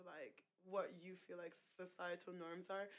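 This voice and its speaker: A woman's medium-pitched voice with an American accent and monotone, flat intonation. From Ireland, Nigerian heritage. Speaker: poet. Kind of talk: casual interview chat.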